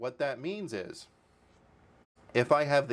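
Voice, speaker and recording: His pitch swings very widely as the man talks. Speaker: DIY tech youtuber. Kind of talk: tutorial; explanatory tutorial talk. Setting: home studio. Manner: repetitive, halting fillers. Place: home room.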